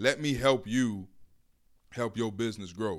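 In a very clean recording with a silent background, a man speaks with an American accent and fairly even intonation. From Miami, Florida. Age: 20s. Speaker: aspiring radio DJ. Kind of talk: casual chat.

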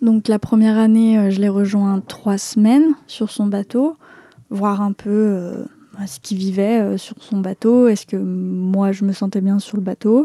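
Dry and close with no echo, this voice has a dark, mellow tone, a very slow pace and fairly even intonation. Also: woman, medium pitch for a woman. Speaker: travel podcaster. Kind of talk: narrated travel diary. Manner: casual, hesitant in Q&A.

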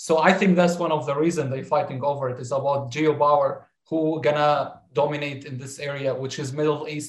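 The voice is somewhat breathy, with an Arabic accent. Delivery is at a fairly quick pace with monotone, flat intonation. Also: man. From southern Syria. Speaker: dentistry student. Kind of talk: casual chat.

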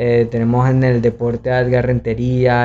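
A man's voice sits at a medium pitch as he talks fairly slowly. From Venezuela, Valencia (Carabobo). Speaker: podcast co-host. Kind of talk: casual chat.

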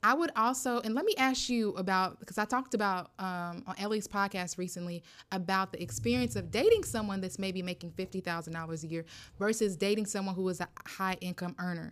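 Lively intonation marks a woman's ordinary speaking voice at a fairly quick pace, in a very clean recording with a silent background. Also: medium pitch for a woman. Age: 30s. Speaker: podcast co-host. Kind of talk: casual chat.

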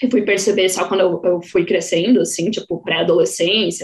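Here is a woman with a normal speaking voice. Her pitch is medium. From Santa Catarina, Brazil (Joinville). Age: 20s. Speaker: podcaster, guest. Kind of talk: casual chat.

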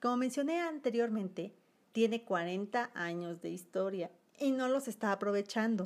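A woman's fairly high, lively voice at a fairly slow pace. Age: 30s. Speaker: branding designer and podcast host. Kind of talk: solo podcast monologue.

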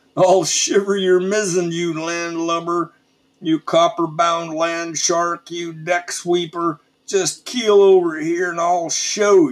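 A man bellows in a gruff, put-on character voice, high-pitched for a man. His pace is fairly slow and his intonation fairly even. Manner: roaring, gruff, boastful.

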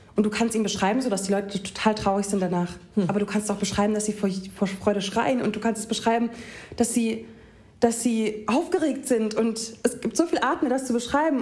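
A woman speaks at a fairly quick pace with a fairly high pitch and ordinary pitch variation. Noticeable background noise runs under her voice. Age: 20s. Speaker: poetry slammer. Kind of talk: reading aloud; casual chat.

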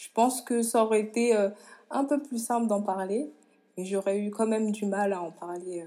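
In a dark, mellow tone, a woman speaks at a moderate pace with a fairly high pitch. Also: ordinary pitch variation, big swings in loudness. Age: 20s. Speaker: professional handball player. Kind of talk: interview.

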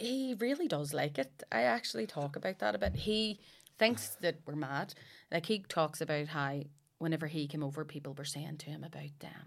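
A woman with a Belfast accent, very deep and low in pitch, with big swings in loudness, on a very clean recording with a silent background. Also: lively intonation, moderate pace. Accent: Belfast Northern Irish. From West Belfast, Northern Ireland. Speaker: comedian. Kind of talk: casual chat.

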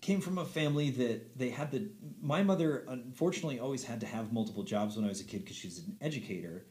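Audible room echo surrounds a man talking at a fairly quick pace. His fairly high voice carries vocal fry and very wide pitch swings. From Montana. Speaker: musician and theater performer. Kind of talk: casual chat.

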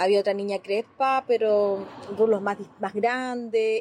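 A normal speaking voice from a woman, fairly high-pitched, ordinary in pitch variation, at a fairly slow pace. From northern Chile (Azapa Valley). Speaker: Afro-Chilean community member. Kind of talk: testimony.

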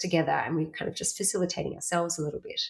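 A woman with an Australian accent. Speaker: workshop facilitator. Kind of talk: interview.

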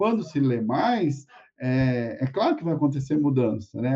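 A man's somewhat breathy voice at a medium pitch. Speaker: university lecturer and interviewer. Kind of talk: live-streamed academic interview. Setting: live stream.

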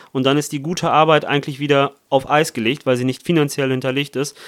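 In a very clean recording with a silent background, a man with a fairly high pitch uses a plain, everyday voice and fairly even intonation. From Italy. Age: young. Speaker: parliamentary candidate. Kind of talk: political interview.

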